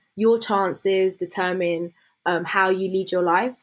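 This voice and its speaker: A woman's medium-pitched voice with a southern English accent, fairly slow and fairly even in intonation. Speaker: law student and former youth MP. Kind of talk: interview conversation.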